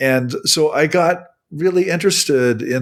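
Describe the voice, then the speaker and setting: Lively intonation from a man with a Midwestern US accent, on a very clean recording with a silent background. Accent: General American, Midwestern. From US Midwest, Nebraska. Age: 60s. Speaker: religion scholar and author. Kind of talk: interview.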